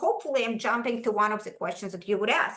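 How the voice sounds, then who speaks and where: Audible room echo follows a woman as she speaks. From Ukraine, former Soviet Union. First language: Russian. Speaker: school language program leader. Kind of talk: presentation to parents. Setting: video call.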